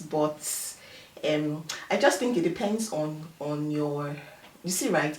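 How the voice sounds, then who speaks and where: Speaking at a fairly slow pace, a woman has a Nigerian accent and ordinary pitch variation. Noticeable background noise and audible room echo fill the recording. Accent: Nigerian accent, firm. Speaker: immigrant professional. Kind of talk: interview.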